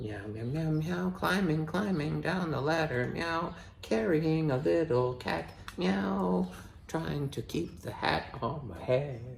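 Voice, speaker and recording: Using a put-on character voice, a man speaks fairly slowly at a medium pitch amid clear background noise. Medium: read story. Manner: interjects meows.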